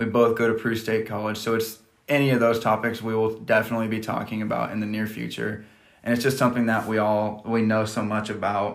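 A man with an American accent talks at a fairly quick pace in a medium, monotone voice. Room echo can be heard. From US Midwest, rural Nebraska. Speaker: podcast host, college student and coach. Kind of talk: casual chat.

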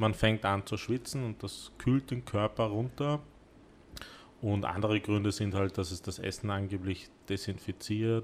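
A man's fairly low pitch at a fairly slow pace, a normal speaking voice with fairly even intonation. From Vienna, partly raised in South Korea. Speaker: cooking studio owner. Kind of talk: casual chat. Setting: cooking studio.

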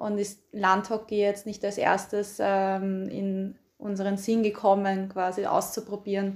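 At a fairly slow pace, a woman with a medium pitch speaks in a monotone, flat intonation. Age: 20s. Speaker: field hockey player. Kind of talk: casual interview.

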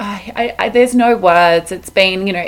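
A woman with an Australian accent at a medium pitch, fairly even intonation and a moderate pace. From Melbourne, Australia. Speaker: podcast host. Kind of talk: solo podcast monologue on mindfulness. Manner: warm, friendly, conversational.

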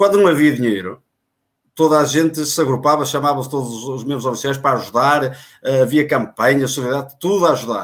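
Here a man speaks at a very fast pace. His pitch is fairly high. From Portugal, Guimarães area. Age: 40s. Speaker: former club election candidate. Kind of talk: live online panel discussion.

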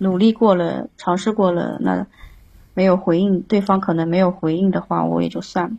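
A woman speaks at a moderate pace with medium pitch. Her tone is dark, mellow and somewhat breathy. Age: 30s. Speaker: caller to advice livestream. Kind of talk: casual advice chat. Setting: live-stream call-in.

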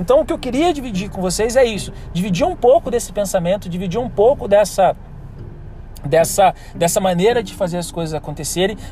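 This man speaks in a Brazilian accent with a high pitch. His intonation is lively and his pace fairly quick. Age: 30s. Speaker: business consultant. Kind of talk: solo podcast monologue.

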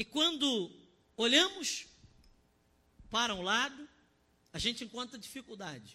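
The voice is raised and projected, with a bright, sharp tone and lively intonation, moving at a fairly slow pace with long, frequent pauses. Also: man, extremely high pitch for a man. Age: 30s. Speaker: pastor. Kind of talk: sermon. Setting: online church service broadcast. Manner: impassioned.

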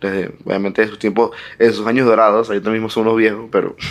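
The man's voice sits at a medium pitch. He speaks with flat, monotone intonation. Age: 20s. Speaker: podcast co-host. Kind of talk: casual chat.

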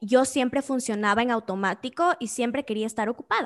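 A woman speaks in a high-pitched voice. The recording is very clean, with a silent background. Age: 20s. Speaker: entrepreneur. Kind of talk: interview.

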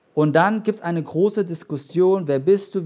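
Recorded very cleanly over a silent background, a man talks with ordinary pitch variation. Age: 30s. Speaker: pastor. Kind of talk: sermon. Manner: halting.

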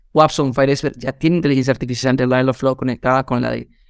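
A man with a fairly high pitch speaks at a very fast pace. His intonation stays fairly even. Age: 30s. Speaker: real estate marketing podcast co-host. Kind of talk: casual chat.

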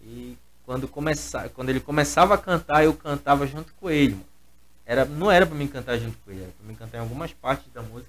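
A man talks at a very fast pace. His loudness swings a great deal. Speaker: gospel musician and singer. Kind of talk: casual chat.

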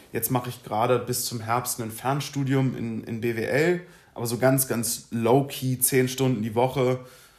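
Keeping a fairly even intonation, a man talks at a fairly slow pace in a medium-pitched voice. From Germany, Berlin. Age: 20s. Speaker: law graduate podcaster. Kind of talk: casual solo monologue. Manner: hesitant, many filler sounds.

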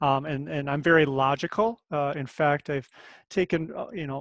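Here a man with an American accent uses a normal speaking voice, fairly high in pitch and fairly quick. His intonation is fairly even, and the sound is dry and close with no echo. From rural Minnesota, US Midwest. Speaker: fitness professional. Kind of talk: casual interview chat. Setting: video call.

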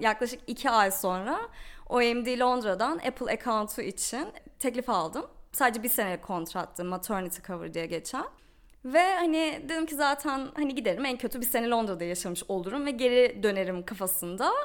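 A woman with a high-pitched voice speaks with lively intonation. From Turkey. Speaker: digital marketer. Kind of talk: casual interview chat.

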